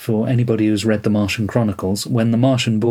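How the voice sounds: The speaker reads in a natural reading voice.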